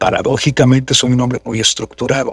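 The background is quiet, and the sound is dry with no echo. A man is speaking. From Mexico. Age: 60s. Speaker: voice actor and announcer; voice actor, announcer. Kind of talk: interview conversation. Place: home room. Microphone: studio mic.

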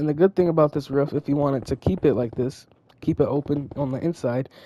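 Very fast and fairly even in intonation, a woman speaks at a very deep, low pitch in a dry, close sound with no echo. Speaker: gaming tutorial creator. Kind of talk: tutorial. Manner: casual, with fillers.

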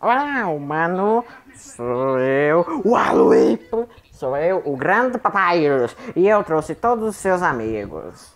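In a put-on character voice at a middle pitch, the speaker talks at a fairly slow pace. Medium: fan dub. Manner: boastful, theatrical.

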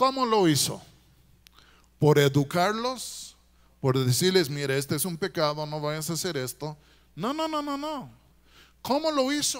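A man speaks at a fairly slow pace with long, frequent pauses against a quiet background. His high pitch makes very wide swings. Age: 60s. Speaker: guest preacher. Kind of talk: sermon. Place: church. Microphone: handheld.

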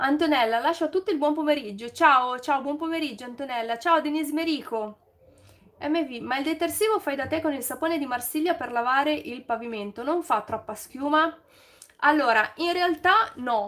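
At a moderate pace, a woman speaks in a high pitch with ordinary pitch variation. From Milan, northern Italy. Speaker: YouTuber, DIY and home tips creator; YouTuber, home tips creator. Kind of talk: casual live stream chat with viewers. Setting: live stream. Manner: chatty, improvised. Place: home room.

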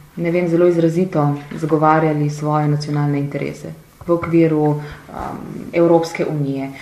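With audible room echo, a woman with a very deep, low voice speaks in a flat monotone. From Slovenia. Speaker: politician. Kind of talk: interview. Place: studio.

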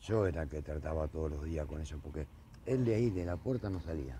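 With a very deep, low pitch and a dark, mellow tone, a man talks at a fairly quick pace, somewhat breathy, with ordinary pitch variation. The sound is dry with no echo, over light background noise. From Argentina. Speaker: neighbour, car body repairer; witness. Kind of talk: street interview testimony. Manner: halting, hesitant. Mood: upset, complaining. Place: street.

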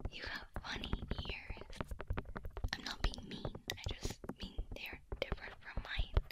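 A soft-spoken, whispering voice with a playful tone moves at a fairly slow pace over loud background noise. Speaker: roleplay voice actor. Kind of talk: ASMR roleplay talk. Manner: playful soft whisper.

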